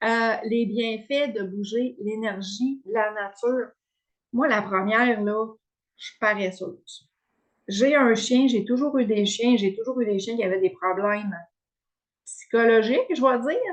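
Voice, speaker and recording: Very slow, fairly high-pitched speech from a woman, ordinary in pitch variation and broken by long, frequent pauses. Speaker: wellness coach. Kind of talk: online workshop presentation. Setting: video call with screen share. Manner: hesitant, many fillers.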